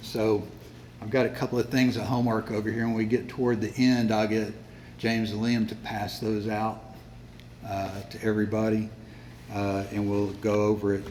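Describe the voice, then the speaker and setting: A man with a fairly low pitch speaks at a moderate pace with monotone, flat intonation. He takes long, frequent pauses, and room echo is audible. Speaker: Bible class teacher. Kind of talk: lecture. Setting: classroom with sound system. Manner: hesitant, many fillers.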